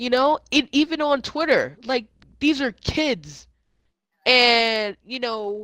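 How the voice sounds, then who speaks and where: Raised, projected male voice at an extremely high pitch, bright and sharp, at a very slow pace with ordinary pitch variation. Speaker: gaming podcast host and streamer. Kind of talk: casual chat. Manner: halting, many fillers.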